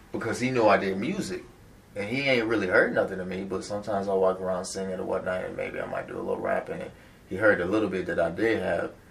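A man with an American accent talks very fast amid noticeable background noise. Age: 20s. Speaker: rapper. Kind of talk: casual interview.

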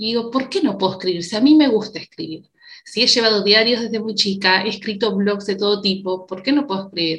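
A woman's medium-pitched, plain, everyday voice, with ordinary pitch variation and a fairly quick pace. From Uruguay. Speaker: psychologist. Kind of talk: interview conversation.

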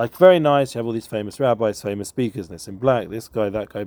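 A man with an American accent at a very fast pace, medium in pitch with ordinary pitch variation and a dark, mellow tone. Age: 40s. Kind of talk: casual chat.

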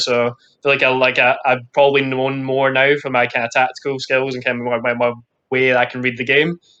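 Talking at a very fast pace, a man with a Scottish accent has a medium pitch, a bright, sharp tone and monotone, flat intonation. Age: 20s. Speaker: elite badminton player. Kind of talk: interview.

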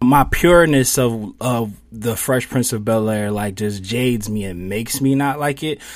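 An ordinary speaking voice with an American accent goes at a moderate pace with ordinary pitch variation. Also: man, medium pitch for a man. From Philadelphia, US. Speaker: podcast co-host. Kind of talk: casual chat.

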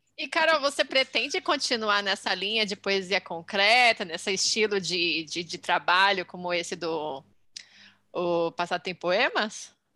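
A woman with a Brazilian accent talks at a fairly slow pace in a bright, sharp tone. Her pitch is medium, and the recording is very clean with a silent background. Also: lively intonation. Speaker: podcast co-host. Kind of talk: casual chat.

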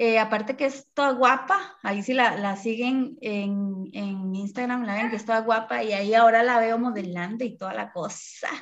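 A woman with a Costa Rican accent talks at a moderate pace with hardly any pauses, her fairly high pitch kept in fairly even intonation. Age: 30s. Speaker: podcast host and mother. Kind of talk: casual chat. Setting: video call.

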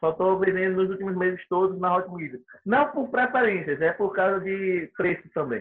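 A man talks in a high register at a moderate speed, his pitch varying in an ordinary way. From Sergipe, Brazil. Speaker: miles reseller and former course student. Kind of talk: casual interview chat.

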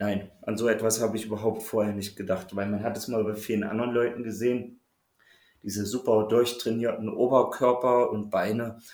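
A man's monotone, flat delivery at a moderate pace, with audible room echo. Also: medium pitch for a man. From Saxony-Anhalt, Harz region. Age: 30s. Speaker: coaching client. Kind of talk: casual interview.

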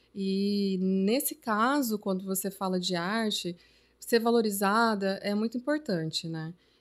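A woman speaks at a fairly slow pace with medium pitch and ordinary pitch variation in an ordinary speaking voice. The recording is very clean, with a silent background. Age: 30s. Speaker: journalist and artist. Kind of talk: casual chat.

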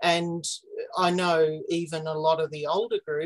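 Recorded dry and close with no echo, the speaker talks at a fairly slow pace with an Australian accent. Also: woman. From Australia, Victoria. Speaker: magazine editor and genealogy enthusiast. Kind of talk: casual interview.

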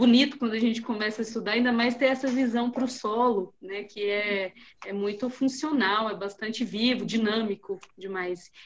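A woman speaks in a normal speaking voice at a fairly high pitch. Her pace is moderate and her intonation fairly even. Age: 30s. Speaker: soil scientist. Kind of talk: technical discussion.

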